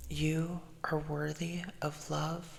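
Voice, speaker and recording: A man with a fairly high voice speaks at a very slow pace over noticeable background noise. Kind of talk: positive affirmations. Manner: slow, gentle, repetitive.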